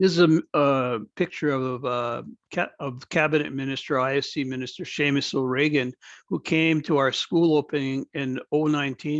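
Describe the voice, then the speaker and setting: Against a quiet background, a man with a Canadian accent speaks at a moderate pace and a fairly high pitch, with fairly even intonation and a dry, close sound with no echo. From Akwesasne Mohawk Nation. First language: Mohawk speaker. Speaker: First Nation band executive director. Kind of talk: informal mentorship presentation. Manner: conversational, with hesitations.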